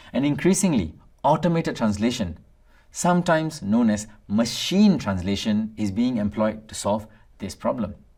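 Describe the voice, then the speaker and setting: The recording is very clean, with a silent background. The speaker talks at a moderate pace with a Tamil accent. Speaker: instructor. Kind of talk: lecture. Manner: formal.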